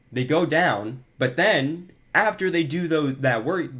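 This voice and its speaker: The voice has lively intonation and a very slow pace. It is a very clean recording with a silent background. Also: man. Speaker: fitness commentator, former athlete. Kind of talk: casual talk to camera. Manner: stutters.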